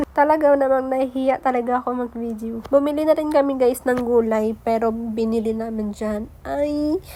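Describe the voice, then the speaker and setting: With hardly any pauses, a woman speaks at a moderate pace and high pitch. Her intonation is fairly even. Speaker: vlogger. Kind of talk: casual vlog voice-over narration.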